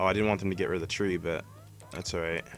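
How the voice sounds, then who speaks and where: With music playing behind him, a man talks in a fairly even intonation. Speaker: gaming video creator. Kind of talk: gameplay commentary. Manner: casual, hesitant with fillers.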